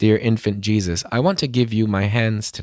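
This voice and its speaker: Against a quiet background, a man speaks at a moderate pace in a fairly low pitch, with a dry sound and no echo. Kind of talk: fervent, reverent prayer led aloud. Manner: earnest, devout, steady. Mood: calm, reverent. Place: home room. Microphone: studio mic.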